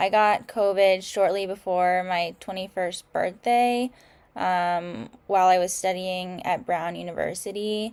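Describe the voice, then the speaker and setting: A woman in an ordinary speaking voice, medium in pitch, fairly slow and fairly even in intonation, on a very clean recording with a silent background. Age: 20s. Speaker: person living with long COVID, former university student. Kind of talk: panel discussion.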